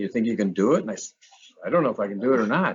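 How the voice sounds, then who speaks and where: A man speaks at a medium pitch. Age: 60s. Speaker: retired teacher and camp owner. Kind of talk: casual chat. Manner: halting.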